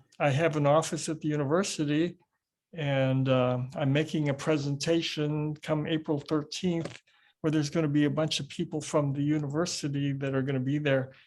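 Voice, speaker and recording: A man's fairly high, fairly quick voice in a flat monotone, over a quiet background. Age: 70s. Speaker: qigong teacher and retired professor. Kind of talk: interview conversation.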